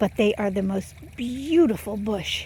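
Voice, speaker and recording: At a very slow pace, a woman speaks in a dark, mellow tone that is somewhat breathy. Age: 70s. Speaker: gardening vlogger. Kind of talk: casual vlog narration. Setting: outdoors. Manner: hesitant, many fillers.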